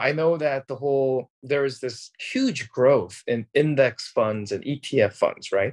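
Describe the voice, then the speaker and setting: A man's fairly high voice at a very slow pace, with ordinary pitch variation and a dry, close sound with no echo. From Korea. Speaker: business professor. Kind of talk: interview.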